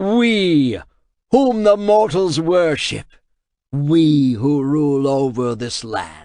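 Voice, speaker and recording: A booming put-on character voice. It speaks at a very slow pace. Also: man. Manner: booming, confident.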